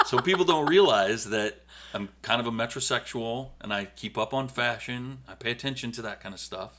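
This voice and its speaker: An unremarkable speaking voice with big swings in loudness, a moderate pace and ordinary pitch variation. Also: man, medium pitch for a man. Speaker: podcast co-host with wife. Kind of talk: casual chat.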